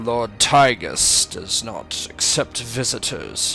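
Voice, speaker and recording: A man puts on a raspy, robotic character voice at medium pitch, with lively intonation and a very slow pace. Clear music plays in the background. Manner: stern, challenging.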